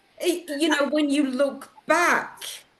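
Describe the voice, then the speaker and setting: In a northern English accent, the voice moves at a fairly slow pace amid audible room echo and noticeable background noise. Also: woman. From northern England, Lancashire. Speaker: publisher and interviewer. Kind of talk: interview.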